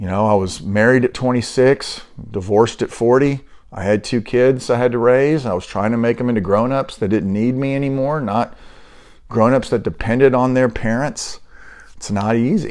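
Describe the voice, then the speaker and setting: A man with a normal speaking voice, moderate pace and ordinary pitch variation against a quiet background. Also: medium pitch for a man. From US, military upbringing (moved around). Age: 60s. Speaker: podcast host. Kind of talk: casual monologue.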